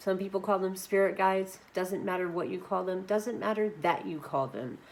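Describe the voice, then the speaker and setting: A woman speaks at a medium pitch. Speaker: spiritual teacher. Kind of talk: monologue to camera. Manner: animated.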